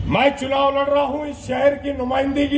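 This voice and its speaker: Amid noticeable background noise, a man speaks with an extremely high pitch. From India, Mira Bhayandar (Mumbai region). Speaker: politician. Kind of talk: election campaign speech.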